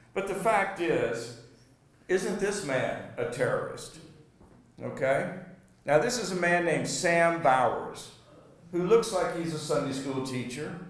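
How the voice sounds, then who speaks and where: A man with an American accent talks at a fairly slow pace, high in pitch, with lively intonation and long, frequent pauses. Audible room echo and noticeable background noise are present. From US South (Alabama). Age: 60s. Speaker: journalism lecturer. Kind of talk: lecture. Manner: halting.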